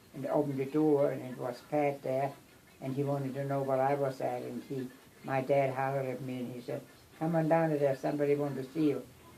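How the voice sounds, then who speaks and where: In a room with audible echo, a woman speaks in a very deep, low voice with monotone, flat intonation. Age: 80s+. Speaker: grandmother. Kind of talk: family storytelling. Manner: halting.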